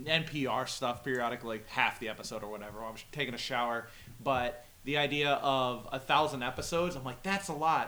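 A man talks at a fairly quick pace with a bright, sharp tone. His medium-pitched voice shows ordinary pitch variation. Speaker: podcast co-host. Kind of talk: casual banter, drunken comedy chat.

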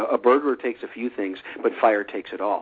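A man talks at a very fast pace. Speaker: survival podcast host. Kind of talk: casual interview. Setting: phone call. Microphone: telephone line.

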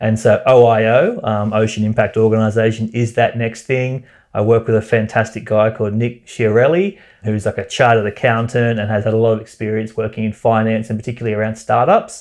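Against a quiet background, a man speaks at a fairly quick pace with an Australian accent. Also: medium pitch for a man. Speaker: environmentalist. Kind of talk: interview. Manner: animated.

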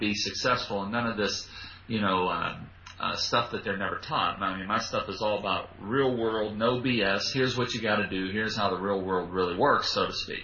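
With an American accent, a man talks at a fairly quick pace and a fairly low pitch, with audible room echo. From US, western Pennsylvania (Pittsburgh area). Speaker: public speaker trainer. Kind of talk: casual interview. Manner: animated.

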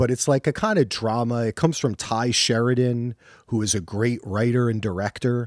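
A man talks at a moderate pace and medium pitch, with fairly even intonation. The recording is very clean, with a silent background. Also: dry, close sound with no echo. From New Jersey. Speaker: podcast host. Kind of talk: casual chat.

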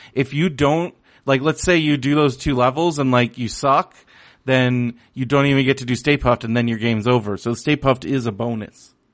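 A plain, everyday voice moves at a fairly quick pace with ordinary pitch variation against a quiet background. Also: man, medium pitch for a man. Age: 30s. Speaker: podcast host. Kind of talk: casual chat.

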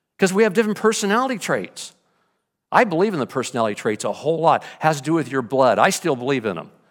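In a very clean recording with a silent background, a man with a fairly high pitch and vocal fry talks at a very fast pace, his pitch swinging very widely. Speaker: pastor. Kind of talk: sermon. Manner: energetic, moves around.

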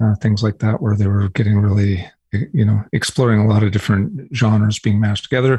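A man's fairly low, dark, mellow voice, somewhat breathy, against a quiet background. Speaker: music tech entrepreneur. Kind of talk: interview. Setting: remote interview from his office.

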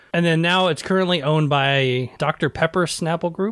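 A man with an American accent at a moderate pace, ordinary pitch variation, a dry, close sound with no echo, and a very clean recording over a silent background. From US South. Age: 40s. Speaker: podcaster. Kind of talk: casual chat.

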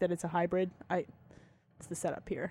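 A medium-pitched woman's voice with an American accent. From New Jersey. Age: 20s. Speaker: podcast host. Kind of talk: movie commentary. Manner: animated.

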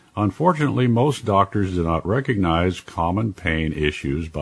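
This man has a very deep, low voice with a somewhat breathy quality. He talks at a moderate pace with lively intonation. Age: 70s. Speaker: radio show host and health author. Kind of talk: interview and health talk.

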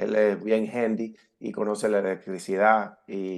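A man speaks at a fairly low pitch against a quiet background. His intonation is monotone and flat. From California (born in Havana, Cuba). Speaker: entrepreneur and author. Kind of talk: interview.

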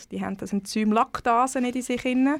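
Speaking at a moderate pace with fairly even intonation, a woman with an unremarkable speaking voice comes through on a very clean recording with a silent background. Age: 30s. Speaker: cookbook author. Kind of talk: casual interview.

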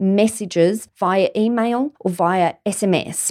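A woman with an Australian accent speaks in a fairly high voice with ordinary pitch variation. The sound is dry and close with no echo, and the recording is very clean with a silent background. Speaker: lawyer podcast host. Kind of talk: solo legal tips monologue.

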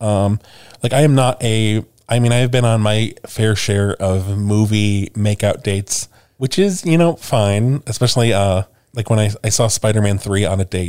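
A man's normal speaking voice with an American accent, fairly low in pitch, at a moderate pace, with ordinary pitch variation and very even loudness, on a very clean recording with a silent background. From US Midwest, Chicago. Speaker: podcast co-host. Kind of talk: casual chat.

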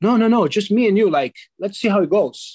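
A man with a Portuguese accent speaks at a moderate pace, the sound dry and close with no echo. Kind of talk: casual interview chat.

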